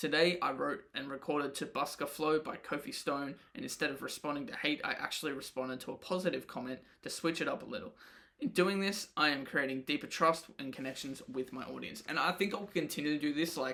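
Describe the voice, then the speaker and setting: With an Australian accent, a man talks at a fairly quick pace in a fairly high pitch, his tone bright and sharp and his pitch variation ordinary. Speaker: podcaster and rapper. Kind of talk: audio diary. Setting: home, late at night. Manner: casual.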